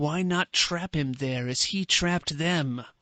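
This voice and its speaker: Putting on a character voice, a man speaks at a fairly slow pace with a fairly high pitch and ordinary pitch variation, the sound dry and close with no echo. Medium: read story.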